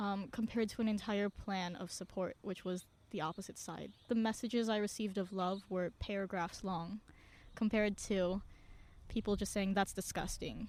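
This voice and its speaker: A woman speaks in an American accent at a moderate pace, with fairly even intonation. Hers is an unremarkable speaking voice at medium pitch, in a very clean recording with a silent background. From Indonesia. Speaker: singer-songwriter and activist. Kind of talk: podcast interview.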